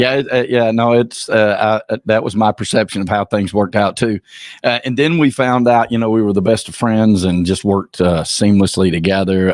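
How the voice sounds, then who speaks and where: At a moderate pace, a man with a Southern US accent speaks in a fairly low pitch with ordinary pitch variation, very even loudness and a dry, close sound with no echo. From US South, Georgia. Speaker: personal brand consultant. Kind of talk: podcast interview. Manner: halting, many fillers.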